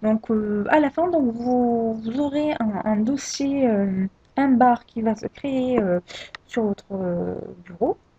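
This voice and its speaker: A woman with a fairly high pitch speaks very slowly, her intonation lively. The sound is dry and close with no echo, and there is noticeable background noise. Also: long, frequent pauses, big swings in loudness. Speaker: tech tutorial creator. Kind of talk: screen-recorded software tutorial. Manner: hesitant, many filler sounds.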